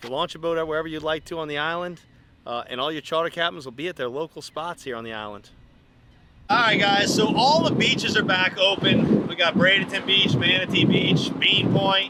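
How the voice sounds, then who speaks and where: A man's high-pitched voice at a fairly quick pace, with lively intonation, big swings in loudness and noticeable background noise. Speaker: fishing charter captain and video host. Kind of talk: casual vlog narration.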